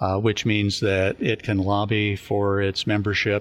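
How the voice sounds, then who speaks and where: In a Californian accent, a man with a fairly low pitch speaks with monotone, flat intonation. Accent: Californian American. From US, California (San Luis Obispo County). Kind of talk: scripted show introduction; radio interview. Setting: radio studio.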